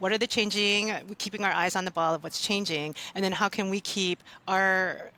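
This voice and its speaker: A woman's bright, sharp voice at medium pitch and a fairly quick pace, recorded dry and close with no echo. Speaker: law librarian, professional association leader. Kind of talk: podcast interview. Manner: fast; animated.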